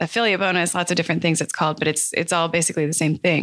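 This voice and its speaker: On a very clean recording with a silent background, a woman speaks with a bright, sharp tone, fairly low pitch and fairly even intonation. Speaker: e-commerce co-op founder. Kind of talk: interview. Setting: studio. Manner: fast.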